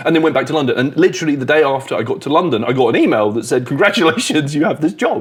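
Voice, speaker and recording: Against noticeable background noise, a man talks very fast in a fairly high pitch, with lively intonation and hardly any pauses. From UK. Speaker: comedian. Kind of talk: casual chat. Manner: animated.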